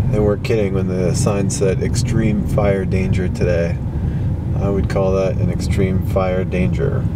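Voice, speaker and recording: Loud background noise sits under speech at a fairly slow pace, and the sound is dry with no echo. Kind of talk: casual commentary. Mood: amazed, somewhat alarmed. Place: car. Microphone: phone near.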